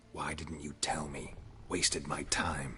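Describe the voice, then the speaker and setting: A man puts on a growling character voice, speaking at a fairly slow pace with light background noise. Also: very deep, low pitch for a man, fairly even intonation. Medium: video game. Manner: terse, dry, laconic.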